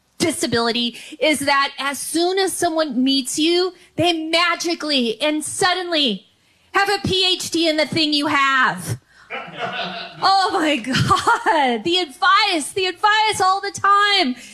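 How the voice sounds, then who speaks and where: Amid noticeable background noise, a woman with an American accent speaks at a very slow pace in a raised, projected voice with an extremely high pitch. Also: lively intonation. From San Francisco Bay Area, California. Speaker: comedian. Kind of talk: stand-up. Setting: comedy club. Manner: repetitions and blocks on sounds.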